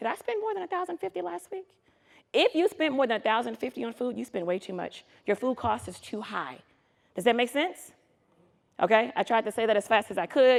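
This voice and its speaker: A woman's animated, fairly high voice at a fairly quick pace, with very wide pitch swings, long, frequent pauses and a dry, close sound with no echo. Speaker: food truck business consultant. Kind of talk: conference presentation. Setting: stage with live audience. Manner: fast; animated, casual and interactive.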